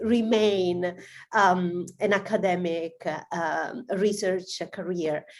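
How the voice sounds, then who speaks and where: A woman with an Italian accent at a very slow pace. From southern Italy. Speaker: AI research director, guest speaker. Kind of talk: webinar talk. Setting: video call.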